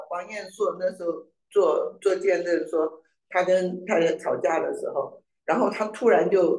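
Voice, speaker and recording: There is audible room echo and a quiet background as a man speaks at a fairly slow pace. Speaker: class participant; church history teacher. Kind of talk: casual chat. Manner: halting. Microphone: video call.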